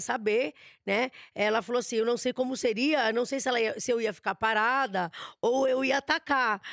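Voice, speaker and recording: In an animated tone, a woman with a Brazilian accent speaks at a fairly quick pace with a fairly high pitch and ordinary pitch variation. The recording is very clean, with a silent background. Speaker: celebrity gossip host. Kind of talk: casual chat.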